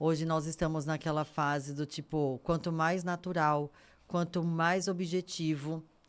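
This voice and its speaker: A woman's very deep, low voice, monotone and flat, at very even loudness and a fairly slow pace. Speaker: podcast host. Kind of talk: podcast interview.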